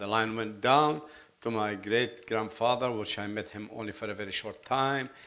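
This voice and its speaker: A man speaks with a Lebanese accent at a fairly slow pace. His fairly low pitch shows ordinary variation. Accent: foreign accent (Lebanese). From Lebanon, Beirut. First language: Arabic. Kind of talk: testimony. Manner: halting, self-correcting.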